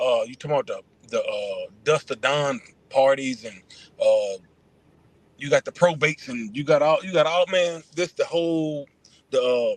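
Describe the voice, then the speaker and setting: The speaker is a man. He talks at a moderate pace. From Atlanta, US South. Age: 40s. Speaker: former pro football player and trainer. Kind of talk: casual interview.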